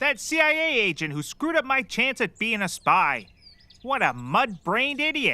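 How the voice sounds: A man's put-on character voice, extremely high in pitch, with a bright, sharp tone, big pitch swings and a fairly slow pace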